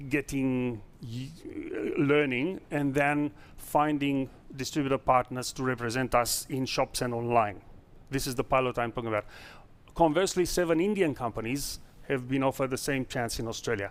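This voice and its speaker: A man speaks at a moderate pace and a medium pitch. The recording is very clean, with a silent background. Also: ordinary pitch variation. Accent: non-native. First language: not English. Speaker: startup founder. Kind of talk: investor pitch Q&A. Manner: halting.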